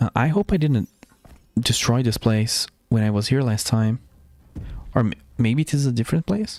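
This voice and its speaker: A man with a Portuguese accent talks at a moderate pace and medium pitch, with ordinary pitch variation. The sound is dry and close, with no echo. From Brazil. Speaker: gaming streamer. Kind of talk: live stream gameplay commentary. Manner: casual, thinking aloud.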